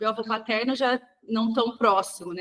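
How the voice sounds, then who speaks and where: A woman talks in an animated tone. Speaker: sugarcane producer, rural leader. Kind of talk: podcast interview. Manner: talks with her hands, animated.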